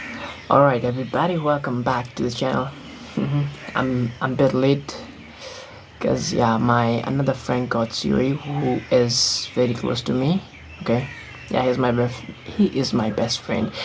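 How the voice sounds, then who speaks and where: Music plays in the background. The speaking pace is fairly slow. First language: not English. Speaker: vlogger. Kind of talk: casual vlog monologue. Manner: halting, many fillers.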